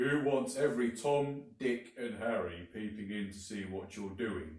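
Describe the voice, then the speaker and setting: At a medium pitch, a man speaks in a put-on character voice at a moderate pace with ordinary pitch variation and a slight echo. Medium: read story. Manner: grumbling.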